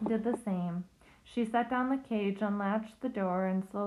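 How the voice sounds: The clip features a natural reading voice.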